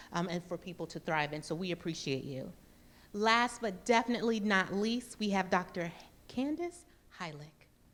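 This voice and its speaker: A woman speaks with an American accent at a fairly quick pace, her pitch medium and her intonation lively. The tone is animated, and the recording is very clean with a silent background. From US South, Mississippi. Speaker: panel moderator. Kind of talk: event moderation, introducing panelists. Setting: stage with live audience. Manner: loud.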